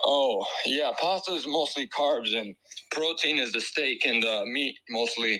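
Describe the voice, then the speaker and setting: The speaker talks at a fairly slow pace with lively intonation and very even loudness over noticeable background noise. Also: man, fairly high pitch for a man. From Ireland. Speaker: caller. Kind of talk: casual chat.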